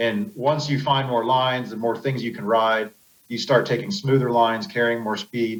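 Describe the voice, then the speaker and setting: A man with an American accent and a normal speaking voice, medium pitch, ordinary pitch variation and a moderate pace. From Pennsylvania. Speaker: off-road racer. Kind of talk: podcast interview.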